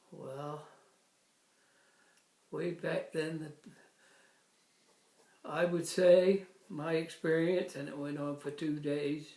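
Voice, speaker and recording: Speaking at a very slow pace with long, frequent pauses, a man keeps a monotone, flat intonation while his loudness swings widely. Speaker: retired volunteer fire chief. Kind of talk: interview answer.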